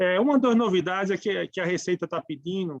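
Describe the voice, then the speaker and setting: With a northeastern Brazilian accent, a man speaks fairly quickly at a high pitch with ordinary pitch variation, the sound dry and close with no echo and the background quiet. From Brazilian Northeast. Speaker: tax speaker. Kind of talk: lecture. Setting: webinar. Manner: halting.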